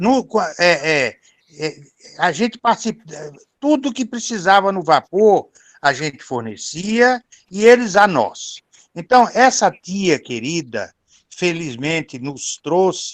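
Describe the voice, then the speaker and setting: A man talks very slowly, with long, frequent pauses and a high pitch that makes very wide swings. The sound is dry and close with no echo, over a quiet background. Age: 70s. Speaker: relative of the author, participant. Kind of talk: video call remarks, reminiscing. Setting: video call from the countryside. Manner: halting, many fillers.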